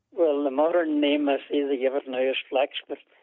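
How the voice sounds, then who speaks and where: A man with a Donegal accent talks at a moderate pace. His fairly high voice has monotone, flat intonation. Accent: Ulster Irish (Donegal). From Ireland, East Donegal. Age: 80s+. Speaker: interviewee, elderly farmer's son. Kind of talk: oral history interview. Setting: phone call. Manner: hesitant, many fillers.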